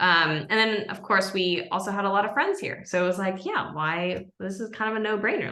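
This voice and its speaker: A woman's bright, sharp tone carries over audible room echo. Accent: American. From Japan (Tokyo). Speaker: product marketing lead. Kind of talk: podcast interview.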